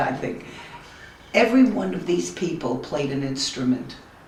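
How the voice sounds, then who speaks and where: A woman with an American accent speaks in a very deep, low pitch that swings very widely. Noticeable background noise and audible room echo surround her voice. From New York, Brooklyn. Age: 90s. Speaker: family elder interviewed. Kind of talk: family history interview. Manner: halting.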